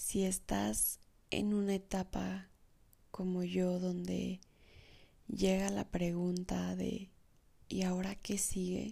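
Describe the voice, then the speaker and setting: At a very slow pace, a woman speaks with very even loudness and long, frequent pauses. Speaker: podcaster. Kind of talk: personal monologue. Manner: animated.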